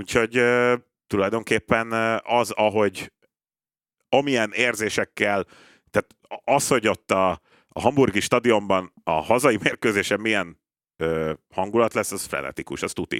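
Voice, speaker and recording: With long, frequent pauses, a man talks in a fairly low voice with ordinary pitch variation, recorded dry and close with no echo. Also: fairly slow pace, very clean recording, silent background. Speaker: football pundit. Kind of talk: casual chat. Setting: studio.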